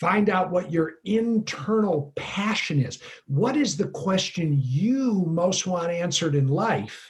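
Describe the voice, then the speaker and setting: A man with a high pitch speaks at a very slow pace with lively intonation. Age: 60s. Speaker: leadership coach and author. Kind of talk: interview conversation.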